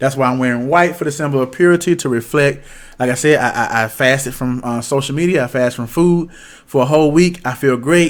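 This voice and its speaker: Talking at a very fast pace, a man keeps his fairly high pitch on fairly even intonation. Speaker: fitness vlogger. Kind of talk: casual monologue. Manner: slurred, stuttering speech.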